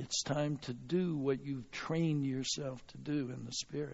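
With an American accent, a man speaks at a fairly high pitch and a fairly slow pace. His voice is somewhat breathy, with fairly even intonation. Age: 70s. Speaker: visiting preacher. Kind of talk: sermon. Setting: church with congregation.

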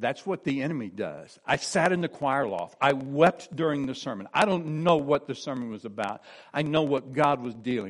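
A man with an American accent and an ordinary speaking voice talks at a moderate pace with a fairly high pitch, lively intonation and hardly any pauses, over a quiet background. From US Midwest (eastern Missouri). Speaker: pastor. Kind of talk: sermon.

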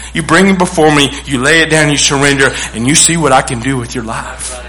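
A man speaks at a fairly quick pace with a Texan accent. The room echo is audible and there is noticeable background noise. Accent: Texan Southern US. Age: 40s. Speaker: pastor. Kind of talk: sermon.

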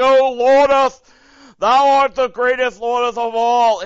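A man's put-on character voice, extremely high and monotone-flat, at a fairly slow pace. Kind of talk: archaic, formal. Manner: dramatic, solemn.

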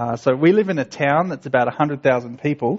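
The speaker talks at a moderate pace in an Australian accent. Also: man. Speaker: missionary. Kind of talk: church talk. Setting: church.

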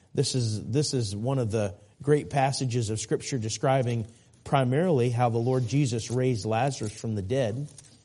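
Against a quiet background, a man at medium pitch talks at a moderate pace, his dark, mellow tone somewhat breathy. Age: 40s. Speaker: preacher. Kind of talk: sermon. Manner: animated.

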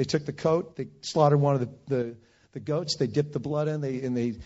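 A man with an American accent talks at a fairly quick pace in a somewhat breathy, fairly high-pitched voice. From Northern California, Bay Area. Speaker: preacher. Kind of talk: sermon. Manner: animated.

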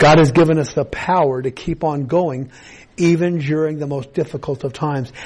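This is an unremarkable speaking voice from a man, pitched fairly high. His intonation is fairly even and his pace moderate. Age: 60s. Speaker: pastor. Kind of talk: sermon. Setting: church.

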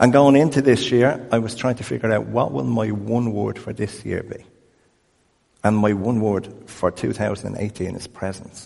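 In an Irish accent, a man speaks at a fairly slow pace with a fairly low pitch. His tone is dark and mellow, with ordinary pitch variation. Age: 50s. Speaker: pastor. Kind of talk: sermon.

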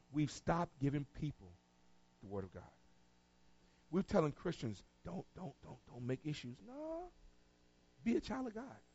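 With an American accent, the speaker sounds somewhat breathy at a moderate pace, taking long, frequent pauses amid very wide pitch swings and big swings in loudness. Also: man, fairly high pitch for a man. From North Carolina, Tarboro. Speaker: pastor. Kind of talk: sermon. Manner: animated.

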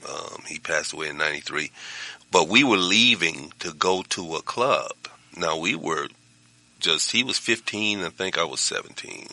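Fairly slow speech from a man over noticeable background noise. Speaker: pastor. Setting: studio.

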